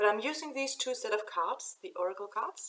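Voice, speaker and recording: With a Danish accent, a woman speaks at a fairly slow pace. Her intonation is lively. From Denmark. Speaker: oracle card reader. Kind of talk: spiritual channeling talk to camera. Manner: halting.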